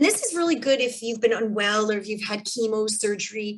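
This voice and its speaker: This woman has a plain, everyday voice. Her pitch is fairly high and her intonation lively. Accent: Canadian. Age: 40s. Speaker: kinesiologist. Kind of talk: webinar presentation. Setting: video call. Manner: casual.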